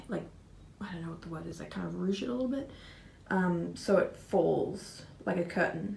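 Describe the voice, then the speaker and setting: A woman speaks with an Australian accent. The room echo is audible. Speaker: makeup artist vlogger. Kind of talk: vlog, casual talk to camera. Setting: in a store. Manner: casual, rambling with fillers.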